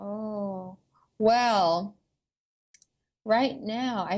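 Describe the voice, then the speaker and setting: A woman speaks in an unremarkable speaking voice with an American accent, her medium pitch showing ordinary pitch variation. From US South, suburban Atlanta, Georgia. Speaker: vegan food blogger and YouTuber. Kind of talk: casual interview chat.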